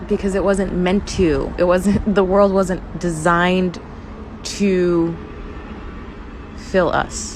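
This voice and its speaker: The speech is very slow and flat in intonation, with long, frequent pauses and very even loudness. Audible room echo and noticeable background noise fill the recording. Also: woman, medium pitch for a woman. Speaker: faith and lifestyle podcaster. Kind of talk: casual chat. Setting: outdoors at night.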